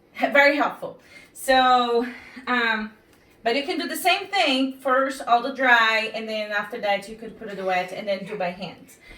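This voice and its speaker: A woman talks at a fairly slow pace with a high pitch. Her intonation is lively, and she has a non-native accent. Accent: foreign accent, noticeable. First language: not English. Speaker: home cooking instructor. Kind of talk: cooking tutorial. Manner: halting, filler-heavy.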